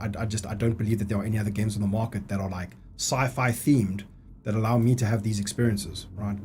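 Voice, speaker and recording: Speaking fairly quickly, a man sounds animated. His fairly low voice is somewhat breathy. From South Africa. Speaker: gaming streamer. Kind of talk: live stream gameplay commentary. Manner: casual, animated.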